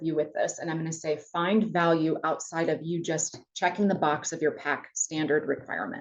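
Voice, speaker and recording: A woman speaks with an American accent. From US Midwest. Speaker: college campus president. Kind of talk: webinar presentation. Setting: webinar. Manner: fast; animated.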